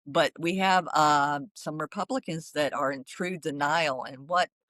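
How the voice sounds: A woman's low-pitched, fairly bright voice with lively intonation, fairly slow in pace, in a dry, close sound with no echo.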